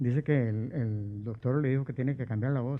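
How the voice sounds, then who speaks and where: Here a man speaks at a medium pitch. His pace is moderate and his pitch variation ordinary. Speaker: impersonator comedian. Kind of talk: casual chat, anecdotes. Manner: animated, acting out voices.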